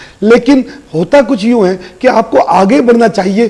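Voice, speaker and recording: A high-pitched man's voice at a fairly slow pace, amid noticeable background noise. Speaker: astrologer and tarot reader. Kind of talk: weekly horoscope reading.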